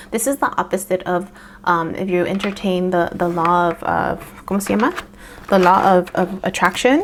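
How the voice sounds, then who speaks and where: A woman's medium-pitched voice at a moderate pace, fairly even in intonation, over noticeable background noise. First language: Spanish. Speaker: tarot reader. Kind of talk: tarot reading. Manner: halting, many fillers.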